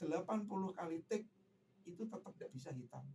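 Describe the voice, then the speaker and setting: This man has a high pitch and talks at a moderate pace. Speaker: singer, tribute performer. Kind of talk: radio interview.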